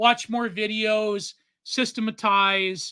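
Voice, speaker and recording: Very slow delivery with a Canadian accent. The recording is very clean, with a silent background. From Canada. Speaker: podcast co-host and self-taught artist. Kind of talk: casual chat. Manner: rambling, halting with repeated fillers.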